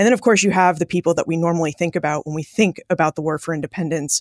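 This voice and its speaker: An ordinary speaking voice with ordinary pitch variation comes through a dry, close sound with no echo, on a very clean recording with a silent background. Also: woman. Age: 40s. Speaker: historian. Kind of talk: interview.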